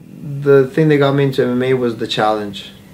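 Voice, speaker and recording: A man at a medium pitch, with noticeable background noise. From Bosnia. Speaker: MMA fighter. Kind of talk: interview. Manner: halting.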